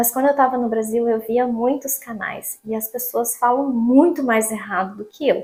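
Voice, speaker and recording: A woman with a Paraná accent speaks at a moderate pace in a high pitch, with fairly even intonation and hardly any pauses. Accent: Paraná Brazilian Portuguese. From Brazil, Paraná. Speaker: vlogger. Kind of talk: casual vlog monologue.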